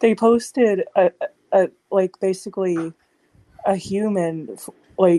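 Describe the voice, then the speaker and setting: A woman speaks with fairly even intonation and a dark, mellow tone in an American accent, the sound dry and close with no echo. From US South. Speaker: podcast panelist. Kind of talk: casual chat.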